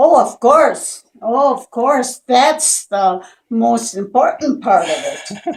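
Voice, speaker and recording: Intonation here is lively. The delivery moves at a very slow pace. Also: woman, high pitch for a woman. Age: 90s. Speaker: patient. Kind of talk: testimony.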